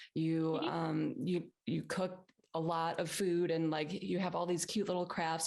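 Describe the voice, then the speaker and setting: Her voice is an unremarkable speaking voice with fairly low pitch and fairly even intonation, delivered at a fairly slow pace. The woman's recording is very clean, with a silent background. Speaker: podcast host. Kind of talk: interview question.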